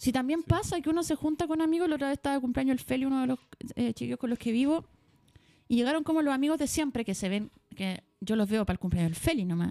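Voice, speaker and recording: With a Chilean accent, the speaker talks very fast in a dark, mellow tone with lively intonation, the sound dry and close with no echo. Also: woman, high pitch for a woman. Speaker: podcast host. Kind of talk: casual chat.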